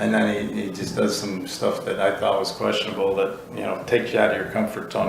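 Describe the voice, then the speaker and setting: A man with an American accent speaks fairly quickly amid audible room echo and noticeable background noise. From US Midwest, Chicago. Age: 60s. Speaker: college football head coach. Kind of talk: casual interview chat.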